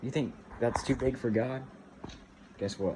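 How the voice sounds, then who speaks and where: A man speaks at a medium pitch. Noticeable noise sits in the background. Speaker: aspiring actor vlogger. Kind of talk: casual vlog monologue. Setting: at home making dinner. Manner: fast.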